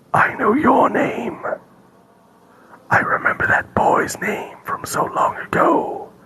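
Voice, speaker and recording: Using a put-on character voice, a man speaks very slowly in a raspy, strained tone. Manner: menacing, knowing.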